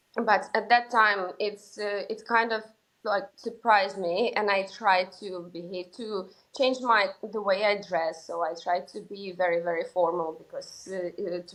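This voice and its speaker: In a Russian accent, a woman talks with fairly even intonation and big swings in loudness. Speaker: sales executive. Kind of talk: interview. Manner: hesitant, many fillers.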